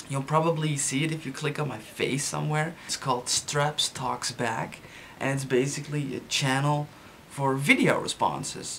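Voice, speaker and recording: A man at a moderate pace, monotone and flat in intonation, over light background noise. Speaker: vlogger. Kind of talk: casual vlog chat. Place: home room. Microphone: webcam.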